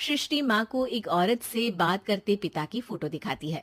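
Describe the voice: This woman has a medium-pitched voice and lively intonation. She talks at a moderate pace.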